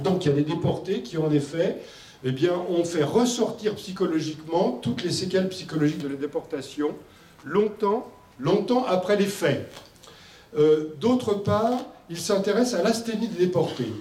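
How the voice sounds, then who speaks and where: A loud man with a high pitch and lively intonation talks at a fairly slow pace, with audible room echo and noticeable background noise. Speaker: medical doctor and expert speaker. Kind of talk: conference presentation. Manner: hesitant with fillers.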